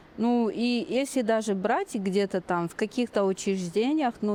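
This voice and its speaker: With a slight non-native accent, a woman speaks at a fairly high pitch with ordinary pitch variation, in a dry, close sound with no echo. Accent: slight non-Russian accent in Russian. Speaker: podcast guest, Kazakh language learner. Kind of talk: interview. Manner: halting.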